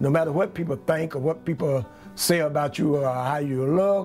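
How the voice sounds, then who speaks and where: With music in the background, a man talks at a moderate pace in a fairly high pitch. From US South, Georgia near Atlanta. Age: 70s. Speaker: craftsman and subject of documentary. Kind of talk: documentary interview.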